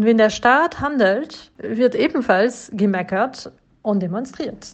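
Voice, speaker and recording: At a very slow pace, a woman with a French accent speaks with a fairly high pitch and lively intonation. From France. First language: French (speaking German). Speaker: podcaster contributing a recorded statement. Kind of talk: prepared recorded statement.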